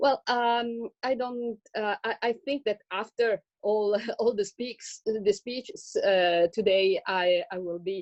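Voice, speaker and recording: Speaking very slowly with an Italian accent, a woman uses ordinary pitch variation. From Italy. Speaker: economics professor. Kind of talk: webinar panel talk. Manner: hesitant.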